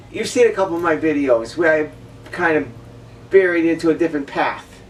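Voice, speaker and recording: A woman talks at a fairly quick pace with ordinary pitch variation and big swings in loudness. Noticeable background noise runs underneath. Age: 60s. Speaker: vlogger. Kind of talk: personal monologue rant. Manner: emotional, repetitive.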